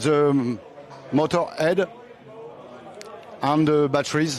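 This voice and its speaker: A man with a French accent and a fairly high pitch. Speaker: racing team president. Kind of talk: presentation. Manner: halting.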